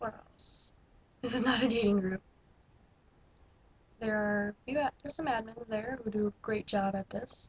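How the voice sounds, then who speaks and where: A woman speaks at a moderate pace with long, frequent pauses. Her voice is somewhat breathy, with fairly even intonation. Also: fairly high pitch for a woman. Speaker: vlogger. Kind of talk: casual vlog monologue. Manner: halting.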